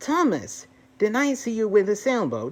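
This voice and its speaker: A put-on character voice with a fairly high pitch. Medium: read story. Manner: friendly.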